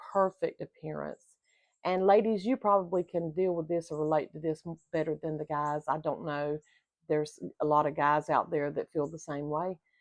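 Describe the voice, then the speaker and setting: Against a quiet background, a woman with a very deep, low pitch talks at a moderate pace with ordinary pitch variation, in a dry, close sound with no echo. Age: 60s. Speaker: vlogger on retirement life. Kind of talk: casual talk to camera. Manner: conversational, with frequent fillers.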